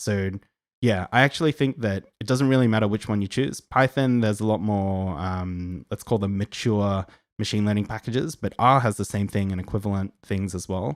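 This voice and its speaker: An Australian-accented man with a fairly low pitch and ordinary pitch variation speaks at a moderate pace in a very clean recording with a silent background. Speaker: data science educator. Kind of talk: live Q&A stream. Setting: live stream. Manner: casual, filler-heavy.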